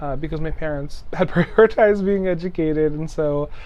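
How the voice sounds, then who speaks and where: Here a man talks with a Hawaiian accent. His intonation is fairly even. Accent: Hawaiian American English. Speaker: program specialist and facilitator. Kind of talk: interview answer.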